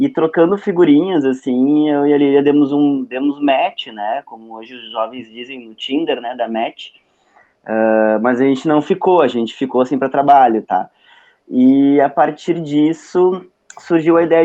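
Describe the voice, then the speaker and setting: A man talks at a fairly high pitch with ordinary pitch variation. His loudness swings widely. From southern Brazil, Porto Alegre. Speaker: psychologist and lecturer. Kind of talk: online lecture. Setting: video call. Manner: casual, hesitant with fillers.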